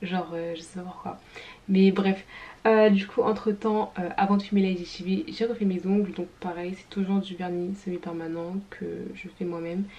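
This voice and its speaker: A woman at a moderate pace, fairly even in intonation but with big swings in loudness. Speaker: vlogger and student; vlogger. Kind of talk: casual vlog talk. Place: home room.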